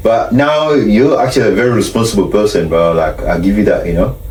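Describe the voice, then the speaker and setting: A man with a South Sudanese Australian accent at medium pitch and a fairly quick pace, amid noticeable background noise and audible room echo. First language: Arabic or Dinka. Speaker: podcast host. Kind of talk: casual chat.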